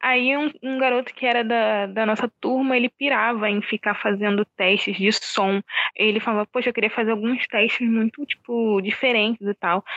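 In a normal speaking voice, a woman talks at a fairly slow pace with a fairly high pitch and fairly even intonation. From Rio de Janeiro suburbs, Oswaldo Cruz. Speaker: film director. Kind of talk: interview. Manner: casual, slangy.

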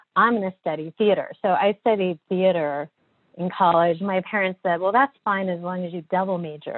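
With an unremarkable speaking voice, a woman talks at a moderate pace in a fairly low pitch with ordinary pitch variation. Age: 40s. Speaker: design agency partner and author. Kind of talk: interview conversation.

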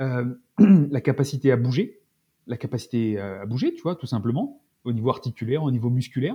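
Lively intonation runs through this man's somewhat breathy voice. His tone is dark and mellow. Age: 40s. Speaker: naturopath and Brazilian jiu-jitsu athlete. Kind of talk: casual interview chat. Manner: halting, many fillers and repetitions.

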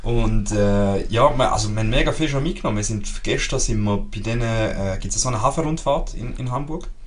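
With a Swiss accent, the speaker talks at a fairly quick pace with hardly any pauses, over noticeable background noise and audible room echo. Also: man. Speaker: podcast co-host. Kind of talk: casual chat.

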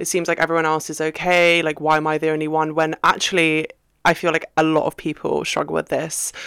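A woman with a British accent speaks at a fairly quick pace, her pitch very deep and low. Her intonation is monotone and flat, and the sound is dry and close with no echo. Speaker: podcast co-host. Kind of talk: pep talk. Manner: warm, reassuring, conversational.

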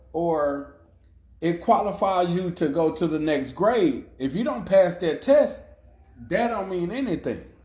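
A man's high-pitched voice is heard with audible room echo around it. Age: 30s. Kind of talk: faith-based motivational monologue. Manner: casual with frequent repetitions and fillers.

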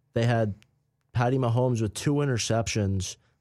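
A man uses an ordinary speaking voice with ordinary pitch variation at a moderate pace. The recording is very clean, with a silent background. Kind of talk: live college radio sports talk banter, co-host riffing on games.

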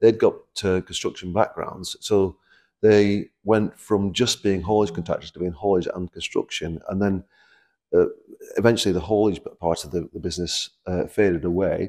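A man with a Lancashire accent, fairly low in pitch and fairly even in intonation, at a moderate pace with a dry, close sound and no echo. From Preston, Lancashire. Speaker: construction company chairman. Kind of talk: interview. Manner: hesitant, many fillers and repeats.

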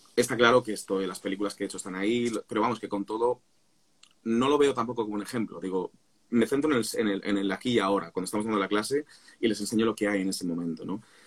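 Very fast male speech, fairly low in pitch, its pitch varying in an ordinary way. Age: 40s. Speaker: singer and vocal coach. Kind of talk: casual chat.

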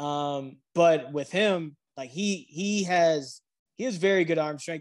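A man with an American accent and an unremarkable speaking voice, fairly high in pitch, with ordinary pitch variation against a quiet background. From Southwest Michigan. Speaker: football coach. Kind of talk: casual chat.

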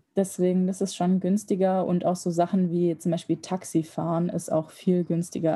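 A woman's fairly low, somewhat breathy voice with a dark, mellow tone and monotone, flat intonation. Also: very clean recording, silent background. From Germany. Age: 20s. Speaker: medical student. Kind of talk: casual interview.

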